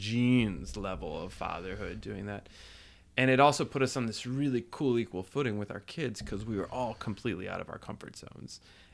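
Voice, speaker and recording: On a very clean recording with a silent background, a man with an American accent uses a normal speaking voice at a fairly low pitch, talking fairly quickly with lively intonation and big swings in loudness. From New Jersey. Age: 40s. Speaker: podcast guest, father and writer. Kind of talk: casual chat.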